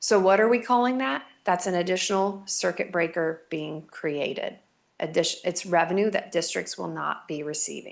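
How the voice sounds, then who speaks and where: Here is a normal speaking voice from a woman, fairly low in pitch. She moves at a moderate pace with ordinary pitch variation. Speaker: school finance consultant presenting to a school board. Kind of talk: presentation to a school board. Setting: school board meeting.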